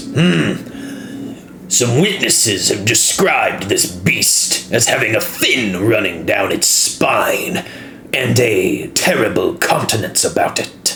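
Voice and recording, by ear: A man uses a gruff, put-on character voice at a fairly slow pace. Clear background noise sits behind him.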